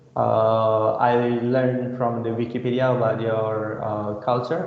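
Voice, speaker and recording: Noticeable background noise sits behind a man with a Balinese accent. He speaks at a very slow pace with fairly even intonation. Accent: Indonesian (Balinese) English. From Bali, Indonesia. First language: Indonesian. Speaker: computer science lecturer. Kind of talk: lecture. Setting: video call. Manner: halting, many fillers.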